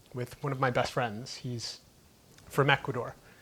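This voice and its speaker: This man talks at a moderate pace with a Florida accent. His pitch is medium and his intonation is monotone and flat. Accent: American (Florida). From US, Key West, Florida. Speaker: entrepreneur. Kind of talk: interview conversation.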